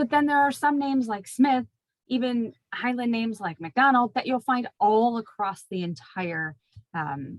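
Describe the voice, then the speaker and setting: Heard with a dry, close sound and no echo, a woman speaks at a fairly high pitch with lively intonation. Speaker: genealogist and librarian. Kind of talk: lecture. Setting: video call. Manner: fast.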